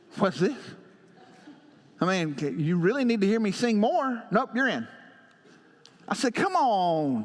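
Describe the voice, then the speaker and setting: A man's high voice in a Southern US accent, fairly slow, with very wide pitch swings and long, frequent pauses. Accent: country Southern US. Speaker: pastor. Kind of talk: sermon.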